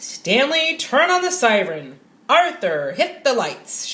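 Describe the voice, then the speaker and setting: A woman speaks loudly in a put-on character voice, pitched high. Her pitch swings very widely at a fairly slow pace. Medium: read story. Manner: loud, hearty.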